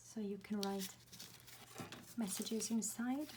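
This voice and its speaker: A woman whispers quietly over noticeable background noise. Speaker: craft tutorial creator. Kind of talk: tutorial. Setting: at home, early morning. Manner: whispering, quiet.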